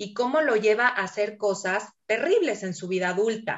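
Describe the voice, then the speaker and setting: This is a normal speaking voice with lively intonation. It moves at a fairly slow pace. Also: woman. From Mexico City. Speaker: educator and book reader. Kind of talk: casual interview. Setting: video call.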